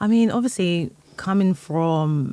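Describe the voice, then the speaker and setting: A woman with a London accent, very slow pace, and ordinary pitch variation. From England, North London. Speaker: music industry executive and founder. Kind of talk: podcast interview. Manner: casual, filler-heavy.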